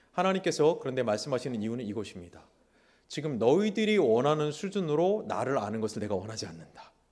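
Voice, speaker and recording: In a very clean recording with a silent background, a man speaks at a very fast pace and a medium pitch, his voice making very wide pitch swings. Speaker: pastor. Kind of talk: sermon. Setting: church. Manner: animated.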